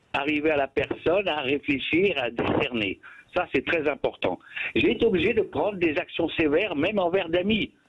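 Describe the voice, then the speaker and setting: Over noticeable background noise, a man with a high voice speaks at a moderate pace, his intonation lively and his loudness very even. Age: 70s. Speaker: radio caller. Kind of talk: radio call-in. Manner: stammering repetitions.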